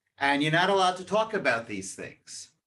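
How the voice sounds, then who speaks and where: A man talks in a fairly high voice with an American accent. His tone is bright and sharp, with lively intonation. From New York, Queens. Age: 70s. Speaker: guest speaker.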